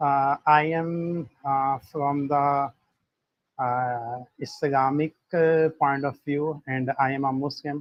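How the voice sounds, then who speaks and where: A man speaks very slowly at a fairly high pitch. His intonation is monotone and flat. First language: not English. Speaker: participant in a religion debate. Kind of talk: live online debate. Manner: halting, many filler sounds.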